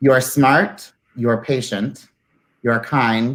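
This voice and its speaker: Very clean recording with a silent background, featuring a man at a medium pitch. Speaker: outgoing chapter president. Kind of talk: ceremonial speech. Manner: loud.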